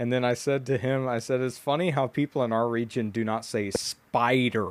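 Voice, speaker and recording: This man speaks at a medium pitch with ordinary variation in his pitch. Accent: Southern. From Louisiana. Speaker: podcast host. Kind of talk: casual chat. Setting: at home, remote call. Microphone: audio may be worse than usual.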